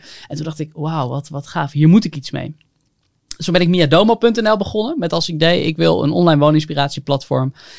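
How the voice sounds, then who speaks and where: Using a plain, everyday voice, a man talks at a fairly quick pace in a fairly high pitch, with ordinary pitch variation. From North Holland, Haarlem. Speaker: entrepreneur. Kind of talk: casual chat.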